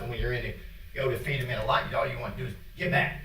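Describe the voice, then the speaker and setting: A man with an American accent talks at a very fast pace. Noticeable background noise and audible room echo fill the recording. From Indiana. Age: 70s. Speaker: public commenter, dog hunter. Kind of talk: public comment at a meeting. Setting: county board meeting room. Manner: casual, plainspoken.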